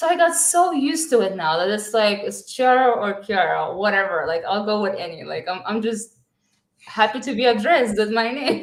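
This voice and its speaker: This woman speaks with an American accent at a fairly high pitch. Her pace is moderate, and her pitch swings very widely. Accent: original accent changed a bit toward American. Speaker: forex trader. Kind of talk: casual interview chat. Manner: hesitant, many fillers.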